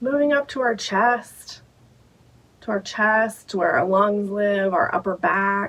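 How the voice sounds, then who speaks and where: A woman speaks very slowly at a medium pitch, her loudness very even and her pitch varying in an ordinary way. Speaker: meditation guide. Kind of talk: guided meditation. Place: home room.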